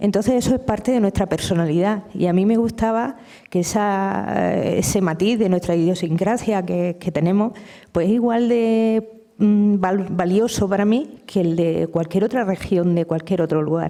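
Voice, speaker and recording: A woman with a plain, everyday voice speaks at a fairly slow pace, her medium pitch showing ordinary variation. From Murcia, Spain (Lorca area). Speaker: novelist and poet. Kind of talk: public literary conversation. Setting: university lecture hall with audience.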